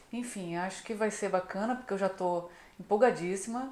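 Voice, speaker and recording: With audible room echo, a woman speaks at a moderate pace and with ordinary pitch variation. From Brazil, Niterói (Rio de Janeiro); Brazil. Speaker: travel vlogger. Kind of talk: casual vlog chat. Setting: outdoors. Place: home room. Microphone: camera far.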